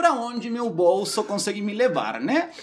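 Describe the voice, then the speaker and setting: A man speaks with a Uruguayan accent at a moderate pace. Noticeable background noise is present. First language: Spanish (speaking Portuguese). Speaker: recruitment manager. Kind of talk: casual chat.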